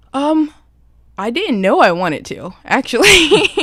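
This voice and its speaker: With an American accent, a woman talks using lively intonation. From Philadelphia. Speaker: singer-songwriter. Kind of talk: interview. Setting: studio. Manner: soft-spoken.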